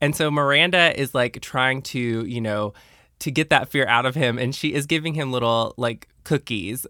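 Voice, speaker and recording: A man has an ordinary speaking voice at medium pitch, talking at a moderate pace with ordinary pitch variation. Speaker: podcast host. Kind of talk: casual interview chat, recapping episodes.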